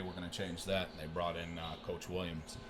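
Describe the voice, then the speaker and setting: The speaker has a Michigan accent and a fairly quick pace. Room echo is audible. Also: man. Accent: Michigan accent, noticeable. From Michigan, US Midwest. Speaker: strength and conditioning coach. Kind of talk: podcast interview. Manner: halting, many fillers.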